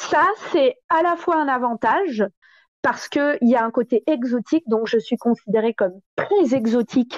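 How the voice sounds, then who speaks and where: Delivery is fairly slow with lively intonation and very even loudness. The sound is dry and close with no echo against a quiet background. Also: woman, high pitch for a woman. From southern France. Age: 30s. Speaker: stripper. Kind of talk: interview.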